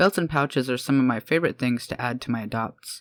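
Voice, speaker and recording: The speech moves at a very fast pace. The recording is very clean, with a silent background. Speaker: freelance artist. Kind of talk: art tutorial narration.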